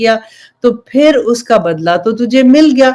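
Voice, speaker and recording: This woman has a high-pitched voice. Her intonation is lively. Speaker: Islamic preacher, religious teacher. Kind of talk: Islamic sermon (bayan) to an audience.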